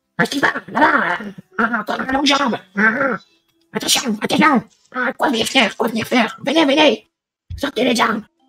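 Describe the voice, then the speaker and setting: In a put-on character voice with fairly high pitch, the speaker goes at a moderate pace with long, frequent pauses while music plays in the background. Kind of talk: improvised comic goblin voice. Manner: alarmed, aggressive, broken grammar.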